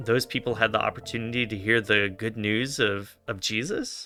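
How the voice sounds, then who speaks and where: Music plays behind a man speaking at a fairly slow pace. His voice sits at a medium pitch. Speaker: online minister. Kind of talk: interviewer questions, conversational.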